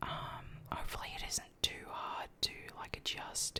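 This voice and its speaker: Someone whispers over noticeable background noise. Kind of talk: casual talk to camera, ASMR-style chat update. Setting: at a computer in a home.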